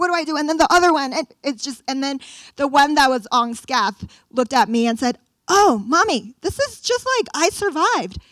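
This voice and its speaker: A woman speaks loudly in an animated tone. Her intonation is lively. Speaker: educator and parenting speaker. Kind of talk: public talk to parents. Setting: stage with live and Zoom audience.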